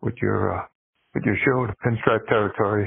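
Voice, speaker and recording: A man talks at a moderate pace in a fairly low pitch. His intonation stays fairly even. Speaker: caller. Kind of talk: casual phone voicemail. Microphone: phone line.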